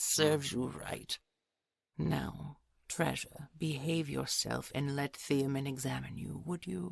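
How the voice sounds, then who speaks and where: The speaker uses a put-on character voice at a low-to-middle pitch. The pace is fairly slow. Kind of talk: audio roleplay.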